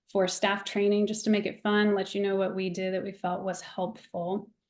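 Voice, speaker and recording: A woman speaks at a moderate pace with a medium pitch and a dark, mellow tone. The background is quiet. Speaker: church staff member, guest presenter. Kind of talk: webinar presentation.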